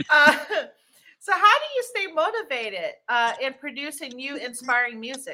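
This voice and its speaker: With an American accent, a woman projects a raised, high, bright and sharp voice at a moderate pace, animated and upbeat, her pitch swinging very widely and her loudness rising and falling sharply. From DMV area, US. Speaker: talk show host. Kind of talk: interview, casual chat. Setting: live stream. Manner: animated, upbeat.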